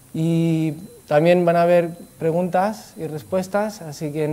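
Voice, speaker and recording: The man's fairly high pitch pairs with a dark, mellow tone. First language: not Spanish (Spanish is third language) (speaking Spanish). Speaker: Buddhist speaker. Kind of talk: talk to an audience. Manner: halting.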